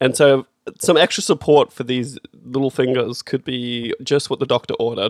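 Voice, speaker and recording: A man with an Australian accent and a medium pitch talks at a moderate pace with fairly even intonation, in a dry, close sound with no echo. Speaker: podcast host. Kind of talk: casual banter.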